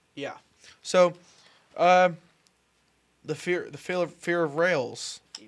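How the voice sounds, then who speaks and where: With long, frequent pauses, a man speaks at a very slow pace in a high pitch and with fairly even intonation. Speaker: podcast host. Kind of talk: casual chat.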